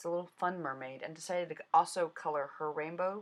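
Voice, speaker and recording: Her voice is fairly low for a woman, with ordinary pitch variation. She talks at a fairly quick pace. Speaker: card-making crafter. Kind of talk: crafting tutorial voiceover. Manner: fast; casual, chatty.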